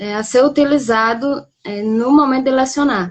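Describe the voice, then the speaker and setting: A woman talks at a fairly slow pace in a high voice. Her intonation stays fairly even. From Brazil, Rio Grande do Norte. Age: young. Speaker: poet. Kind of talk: casual interview.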